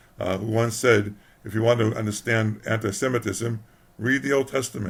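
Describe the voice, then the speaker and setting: This man's voice is fairly low and somewhat breathy. He keeps a moderate pace with fairly even intonation. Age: old. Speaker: historian. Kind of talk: religious talk to camera. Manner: hesitant, halting.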